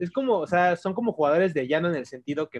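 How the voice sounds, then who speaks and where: In a dry, close sound with no echo, a man speaks with lively intonation. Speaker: podcast co-host. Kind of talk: casual chat.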